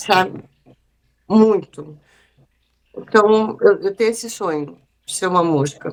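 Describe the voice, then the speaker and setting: A woman speaks very slowly with long, frequent pauses and big swings in loudness. Her medium-pitched voice has ordinary pitch variation. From Mato Grosso, Brazil (Cuiabá). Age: 50s. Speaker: artist. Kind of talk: casual interview.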